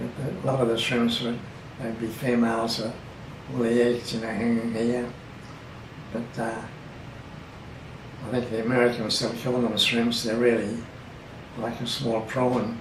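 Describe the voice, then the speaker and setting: At a moderate pace, a man with an Australian accent and medium pitch speaks in a monotone, flat way, leaving long, frequent pauses. Noticeable background noise is present. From Bundaberg, Queensland, Australia. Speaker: oral history interviewee. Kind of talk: interview answer.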